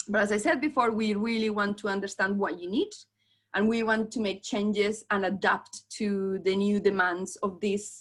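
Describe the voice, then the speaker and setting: At a moderate pace, a woman with a strong Colombian accent speaks at a medium pitch with fairly even intonation. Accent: thick Colombian Spanish. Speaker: venue sales manager. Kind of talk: presentation on video call. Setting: video call.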